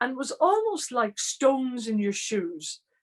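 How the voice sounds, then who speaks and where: A woman with an Irish accent at a fairly slow pace. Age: 60s. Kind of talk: online training talk.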